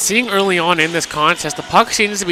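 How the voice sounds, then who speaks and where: A high-voiced man talks at a fairly quick pace. Noticeable background noise runs behind him. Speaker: color commentator, analyst. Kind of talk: radio hockey color commentary. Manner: conversational.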